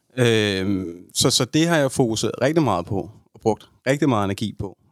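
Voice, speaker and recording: The recording is very clean, with a silent background and a dry, close sound with no echo. A man speaks with lively intonation. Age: 30s. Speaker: podcast guest sharing personal story. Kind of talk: personal testimony in interview. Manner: halting, many fillers.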